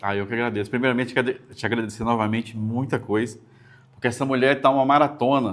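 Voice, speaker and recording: His intonation remains fairly even at a medium pitch. This man rattles along at a very fast pace. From Brazil, northwest Rio de Janeiro state. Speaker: podcast host. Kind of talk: interview podcast.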